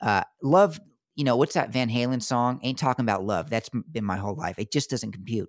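A man with an American accent talks at a fairly quick pace in a plain, everyday voice, his pitch medium and his intonation lively. The recording is very clean with a silent background, and the sound is dry and close with no echo. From US Southeast, military family. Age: 20s. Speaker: podcast host. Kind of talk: casual interview chat.

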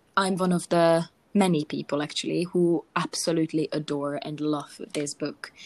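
At a fairly slow pace, a woman with a Hungarian accent speaks at a fairly low pitch with fairly even intonation, on a very clean recording with a silent background and a dry, close sound with no echo. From Hungary. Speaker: podcast co-host. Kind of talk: casual chat.

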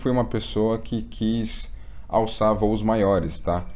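A man speaks at a fairly low pitch with a dark, mellow tone. Audible room echo surrounds his voice. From Brazil, São Paulo. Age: 20s. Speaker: investment content creator. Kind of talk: casual interview chat.

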